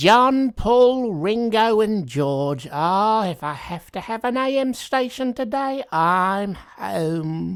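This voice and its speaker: In a put-on character voice, a woman swings her pitch very widely, in a very clean recording with a silent background. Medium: comedy sketch. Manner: cranky, grumbling.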